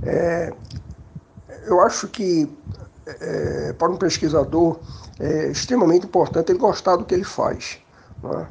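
A man talks at a fairly slow pace with long, frequent pauses. Noticeable background noise runs underneath. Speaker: statistics professor. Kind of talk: interview testimony.

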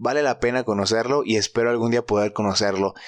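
The speaker is a man. He talks with a Mexican accent. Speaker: podcast host. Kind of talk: casual solo monologue. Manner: animated.

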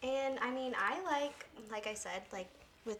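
Woman's voice with ordinary pitch variation amid noticeable background noise. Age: 20s. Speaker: podcast guest. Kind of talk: casual chat.

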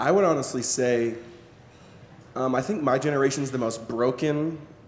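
Noticeable background noise and audible room echo accompany a man whose pitch varies in an ordinary way. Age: 20s. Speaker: spoken word poet and author. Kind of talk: interview before a live audience. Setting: stage with audience.

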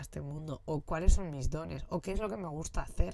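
A dark, mellow voice with vocal fry, very wide pitch swings and a fairly quick pace. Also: woman. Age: 30s. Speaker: podcast host. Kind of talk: casual monologue. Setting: in a motorhome.

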